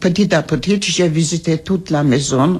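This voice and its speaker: Noticeable background noise sits behind a woman's voice. Her pitch is very deep and low, with ordinary variation. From Trabzon, Ottoman Turkey. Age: 80s+. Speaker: genocide survivor. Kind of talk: testimony. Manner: halting.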